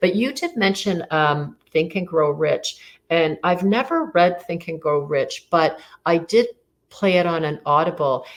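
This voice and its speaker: A woman's fairly low-pitched voice with ordinary pitch variation, at a fairly slow pace. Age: 60s. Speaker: financial advisor. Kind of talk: interview conversation. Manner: halting.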